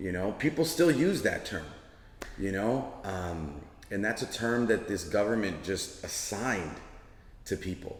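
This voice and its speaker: In a Chicago accent, a man speaks at a fairly slow pace and a fairly low pitch. His voice has very wide pitch swings, and there is audible room echo. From Chicago (Pilsen). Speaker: working artist. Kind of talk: interview.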